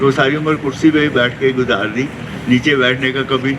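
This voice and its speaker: Noticeable background noise runs under the clip. A man is speaking. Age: 80s+. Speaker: yoga class participant. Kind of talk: testimony.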